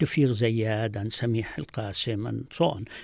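A man speaks at a fairly slow pace with an Arabic accent. The recording is very clean, with a silent background. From Galilee, Israel (Palestinian). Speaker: physician and author. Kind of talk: interview.

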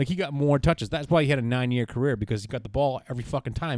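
Speaking with an American accent, a man uses lively intonation at a medium pitch. The sound is dry and close with no echo, on a very clean recording with a silent background. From Boston. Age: 20s. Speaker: TV production freelancer, sports fan. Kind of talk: casual chat.

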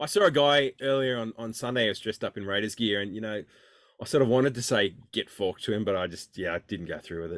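Speaking at a very fast pace with an Australian accent, a man uses lively intonation at a medium pitch. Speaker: podcast co-host. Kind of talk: casual banter about football. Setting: makeshift storeroom studio.

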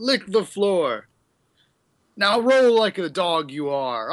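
A gruff, put-on character voice at a very slow pace against a quiet background. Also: man, high pitch for a man. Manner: mocking, jeering.

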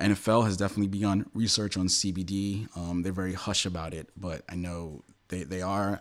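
In a New York accent, a man speaks at a fairly quick pace. His pitch is very deep and low. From New York City. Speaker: magazine founder and editor. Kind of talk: casual interview.

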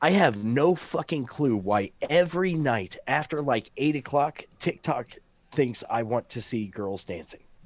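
An unremarkable speaking voice, this man's is fairly high in pitch with an American accent, lively intonation and a fairly slow pace. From Missouri Ozarks. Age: 40s. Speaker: podcast co-host. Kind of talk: casual chat.

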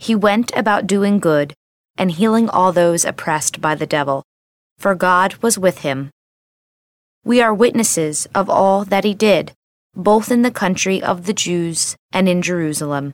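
A woman with an unremarkable speaking voice talks at a fairly slow pace, her pitch medium and its variation ordinary. The recording is very clean and the background silent. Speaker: scripture reader. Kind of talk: scripture reading, solemn liturgical proclamation. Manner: formal, measured, reverent.

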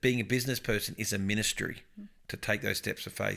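On a very clean recording with a silent background, a man talks at a very fast pace in a bright, sharp tone with fairly even intonation. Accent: Australian. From Victoria, Australia. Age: 40s. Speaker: pastor. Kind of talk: casual interview. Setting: lounge room.

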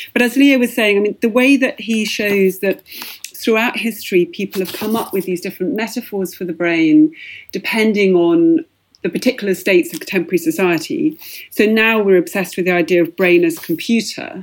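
A woman in a normal speaking voice talks at a fairly quick pace with a medium pitch and lively intonation. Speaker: journalist and author, prize judge. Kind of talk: book discussion.

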